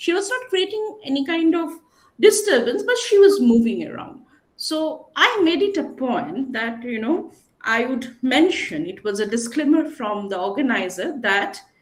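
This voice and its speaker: A woman with a high voice speaks at a moderate pace, making very wide pitch swings and big swings in loudness amid audible room echo. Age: 40s. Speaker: panelist. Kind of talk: panel discussion.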